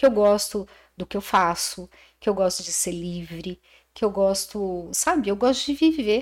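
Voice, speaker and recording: In a plain, everyday voice, a woman speaks at a fairly slow pace and medium pitch with lively intonation. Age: 60s. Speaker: aesthetician and businesswoman. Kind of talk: casual chat.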